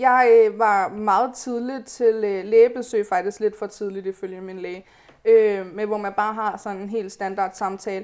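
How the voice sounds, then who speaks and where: A woman's flat, monotone delivery with big swings in loudness. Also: medium pitch for a woman, very clean recording, silent background. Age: 20s. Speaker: podcast guest, pregnant student. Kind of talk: casual chat.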